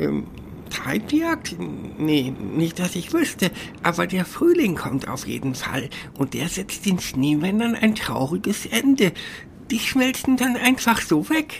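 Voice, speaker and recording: A female-sounding voice at a middle pitch performs a put-on character voice over clear background noise. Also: fairly slow pace. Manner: chatty, cheeky, casual.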